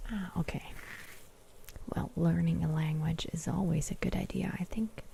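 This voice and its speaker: Over noticeable background noise, a soft-spoken woman whispers at a moderate pace. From Germany. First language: German. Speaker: ASMR creator. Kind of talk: livestream chat with viewers. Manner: whispering.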